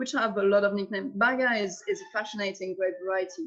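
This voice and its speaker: A woman with a French accent speaks at a moderate pace, medium in pitch with ordinary pitch variation. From Alsace, eastern France. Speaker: winemaker. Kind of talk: interview. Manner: halting.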